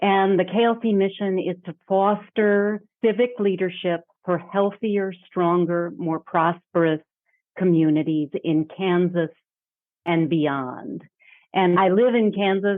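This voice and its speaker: Here is a woman with a normal speaking voice at medium pitch. She speaks at a fairly slow pace with ordinary pitch variation. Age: 60s. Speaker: leadership development executive. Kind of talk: podcast interview.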